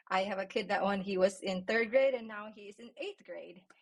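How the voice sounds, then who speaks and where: The voice has a somewhat breathy quality. It belongs to a woman. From Philippines. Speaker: teacher of visually impaired students. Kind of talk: podcast interview.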